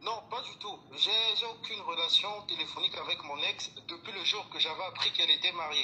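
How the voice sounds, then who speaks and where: A man with a Gabonese accent talks at a fairly quick pace with big swings in loudness amid noticeable background noise. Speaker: caller. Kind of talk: call-in testimony. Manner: halting.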